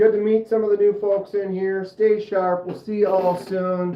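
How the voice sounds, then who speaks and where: A high-pitched man in a Minnesotan accent at a moderate pace, with noticeable background noise. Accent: Minnesota. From US Midwest, Minnesota. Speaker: knife channel host, livestreamer. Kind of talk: casual livestream chat.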